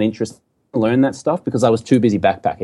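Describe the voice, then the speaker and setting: With an Australian accent, a man speaks in a fairly low pitch with a dark, mellow tone. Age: 40s. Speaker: entrepreneur and former TV sports anchor. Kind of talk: casual interview conversation.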